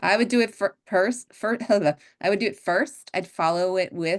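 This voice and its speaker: A woman's unremarkable speaking voice at medium pitch, moderate pace and lively intonation, dry and close with no echo against a quiet background. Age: 60s. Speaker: skincare expert. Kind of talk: webinar discussion.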